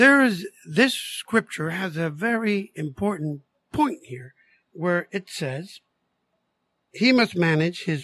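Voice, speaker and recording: A man with a high pitch talks at a very slow pace, his intonation lively. The sound is dry and close, with no echo. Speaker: co-host minister. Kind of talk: bible study discussion.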